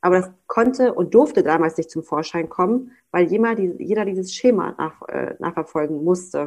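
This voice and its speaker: A woman with an unremarkable speaking voice talks at medium pitch. Her intonation is lively, and she uses hardly any pauses. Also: moderate pace. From Germany, North Rhine-Westphalia. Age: 20s. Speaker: daycare director. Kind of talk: casual interview chat.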